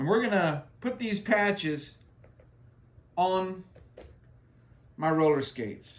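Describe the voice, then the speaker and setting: A man speaks at a high pitch in an American accent. His pace is very slow, with long, frequent pauses. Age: 60s. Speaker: skating vlogger, military veteran. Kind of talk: casual tutorial. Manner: casual, repetitive with fillers.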